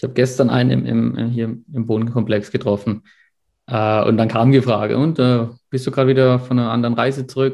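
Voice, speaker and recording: Against a quiet background, a man speaks at a fairly quick pace with monotone, flat intonation. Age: 30s. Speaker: mechanical engineer between jobs. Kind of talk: casual interview.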